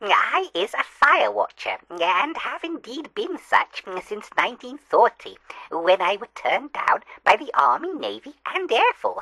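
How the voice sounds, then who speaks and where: A put-on character voice in an English accent, high in pitch and at a fairly slow pace. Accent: rustic English dialect grammar. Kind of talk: comic mock-newsreel interview. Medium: comedy sketch. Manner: hesitant, stammering and chuckling.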